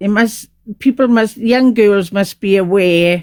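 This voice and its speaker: A plain, everyday voice from a woman, medium in pitch and fairly slow, with ordinary pitch variation. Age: 60s. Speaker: caller in live stream. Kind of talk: casual chat.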